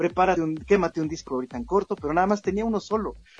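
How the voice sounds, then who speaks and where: This man talks at a high pitch with a Mexican accent. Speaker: radio host. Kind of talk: casual chat.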